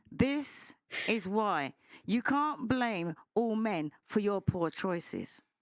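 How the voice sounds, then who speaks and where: A woman speaks very slowly in a fairly high pitch with lively intonation, recorded dry and close with no echo on a very clean track with a silent background. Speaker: panel guest. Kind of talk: heated debate. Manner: loud; animated.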